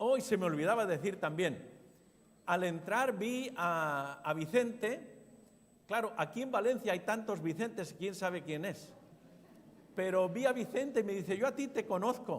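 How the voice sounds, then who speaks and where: A man talks at a fairly slow pace in a high pitch, with audible room echo. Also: lively intonation. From Spain, Zaragoza. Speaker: pastor. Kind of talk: sermon.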